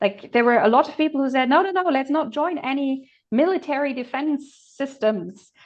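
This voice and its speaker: Speaking at a moderate pace with a German accent, a woman keeps a high pitch and ordinary pitch variation. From Germany. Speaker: political commentator. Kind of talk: casual discussion.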